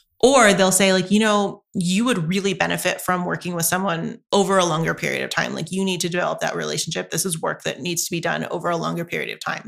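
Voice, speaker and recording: With hardly any pauses, a woman with an American accent talks at a very fast pace in a very clean recording with a silent background. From US South, North Carolina. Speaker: university lecturer and student affairs staff. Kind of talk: interview. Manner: professional.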